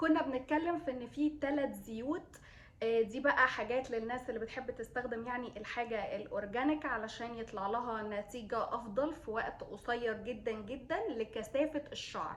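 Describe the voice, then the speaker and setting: A woman talks in an Egyptian accent at a high pitch. She leaves hardly any pauses. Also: ordinary pitch variation, moderate pace. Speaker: beauty vlogger, mother. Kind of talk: product review vlog. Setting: at home, kids nearby. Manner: hesitant, many fillers.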